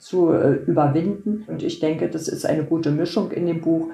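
With a dark, mellow tone and vocal fry, a woman speaks at a moderate pace with ordinary pitch variation. The room has audible echo. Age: 60s. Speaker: patient with multiple sclerosis, blogger. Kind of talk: casual interview.

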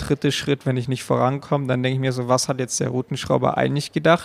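The speech goes at a very fast pace. The sound is dry and close, with no echo. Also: man. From Allgäu, Bavaria, Germany. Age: 20s. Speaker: competitive climber. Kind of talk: interview. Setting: climbing gym.

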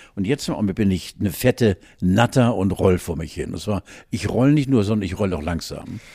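A man speaks at a moderate pace with a fairly low pitch and ordinary pitch variation. His tone is dark and mellow, in a very clean recording with a silent background. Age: 70s. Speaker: podcast co-host. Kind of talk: casual chat.

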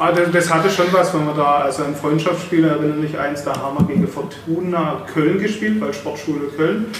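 With noticeable background noise and audible room echo, a man talks at a fairly quick pace with hardly any pauses, a fairly high pitch and ordinary pitch variation. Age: 40s. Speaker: former footballer and club board member. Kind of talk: casual interview. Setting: stadium announcer booth used as studio. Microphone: poorer sound after one mic failed.

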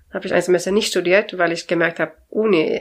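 Speaking in a Swedish accent, a woman keeps a medium pitch and fairly even intonation at a fairly quick pace. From Sweden. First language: Swedish (speaking German). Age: 40s. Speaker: language consultant. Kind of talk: interview. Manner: cheerful.

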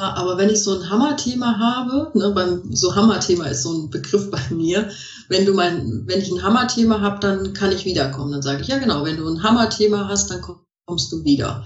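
A woman speaks at a moderate pace in a medium pitch, with very wide pitch swings. Audible room echo surrounds her voice. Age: 50s. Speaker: coach and therapist. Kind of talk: interview.

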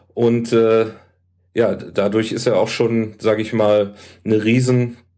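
A man at medium pitch and a very slow pace. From Hamburg, northern Germany. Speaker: health food shop salesman. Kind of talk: casual chat.

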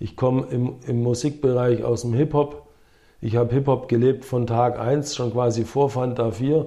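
This man has a medium pitch and a dark, mellow, somewhat breathy tone. He keeps a moderate pace with monotone, flat intonation. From Swabia, southern Germany (Herrenberg), some childhood years in America. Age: 50s. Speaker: former pro windsurfer and entrepreneur. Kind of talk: casual interview.

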